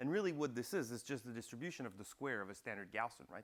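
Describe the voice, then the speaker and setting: A man's medium-pitched voice moves through very wide pitch swings. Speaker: university lecturer. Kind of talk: lecture. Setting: classroom. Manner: fast; animated.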